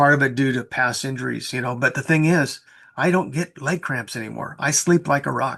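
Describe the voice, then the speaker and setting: A man talks at a moderate pace with ordinary pitch variation and a fairly high pitch. His tone is bright and sharp, with vocal fry. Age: 70s. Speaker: network marketing coach. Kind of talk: interview.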